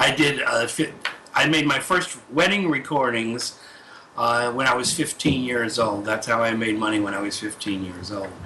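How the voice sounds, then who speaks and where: Amid audible room echo and noticeable background noise, a man talks at a medium pitch with lively intonation. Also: moderate pace. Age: 60s. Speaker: expert witness, audio forensics. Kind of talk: court testimony. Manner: halting, repeats words.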